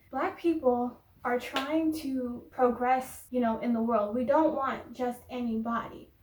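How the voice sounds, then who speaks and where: A woman's high-pitched voice at a fairly slow pace, fairly even in intonation with hardly any pauses, over noticeable background noise. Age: 20s. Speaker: vlogger. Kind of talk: casual talk to camera.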